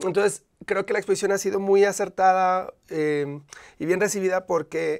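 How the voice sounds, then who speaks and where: A man at a high pitch, moderate pace and fairly even intonation, over a quiet background. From Monterrey, northern Mexico; Mexico. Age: young. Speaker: visual artist; guest. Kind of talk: interview. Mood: calm, explanatory. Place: studio. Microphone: lapel.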